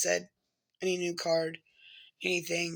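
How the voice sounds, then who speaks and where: Speaking at a moderate pace, a woman has a bright, sharp tone. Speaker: alternative health practitioner and vlogger. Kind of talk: casual vlog talk. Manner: hesitant, many fillers.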